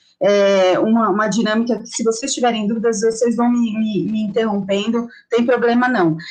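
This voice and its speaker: A woman's fairly high voice with audible room echo. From Brazil, São Paulo. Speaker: investment educator. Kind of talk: online lecture.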